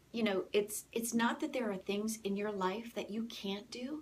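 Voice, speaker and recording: The voice is somewhat breathy. It moves along at a moderate pace. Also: woman. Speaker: motivational speaker. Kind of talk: live stream talk. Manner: soft-spoken.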